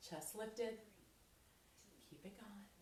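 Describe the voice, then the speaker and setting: Upbeat in tone, a woman speaks at a medium pitch amid audible room echo. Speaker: fitness instructor. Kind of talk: workout instruction. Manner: upbeat, encouraging.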